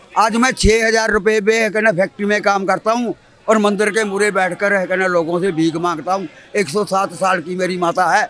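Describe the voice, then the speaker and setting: A man talks at a high pitch against noticeable background noise. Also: fairly even intonation, moderate pace. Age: 70s. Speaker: retired worker and pensioner. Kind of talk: street interview.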